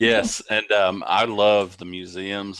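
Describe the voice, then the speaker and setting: A man's fairly low voice with an American accent and monotone, flat intonation, on a very clean recording with a silent background. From United States. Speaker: interviewer. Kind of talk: interview.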